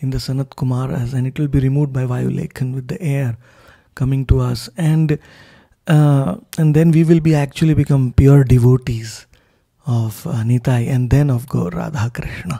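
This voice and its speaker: A man speaks at a moderate pace in a dark, mellow, somewhat breathy tone. His pitch varies in an ordinary way against a quiet background. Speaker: spiritual teacher. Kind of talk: scripture commentary talk. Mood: devotional, blissful. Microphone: handheld.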